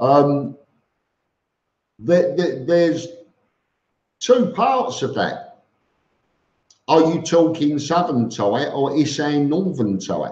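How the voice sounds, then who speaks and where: A man's fairly high voice in a Cockney accent, very slow with long, frequent pauses and lively intonation, amid audible room echo. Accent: Cockney London English. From East London, England. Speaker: expat vlogger, live stream host. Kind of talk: live stream chat reading viewer comments. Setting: live stream. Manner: halting with frequent repetitions.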